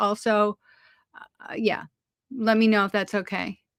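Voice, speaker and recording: Loud and at a moderate pace, a woman's voice comes through dry and close with no echo. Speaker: online seller of craft supplies. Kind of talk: live sales stream. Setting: live stream. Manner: hesitant, many fillers. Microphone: no echo, audible.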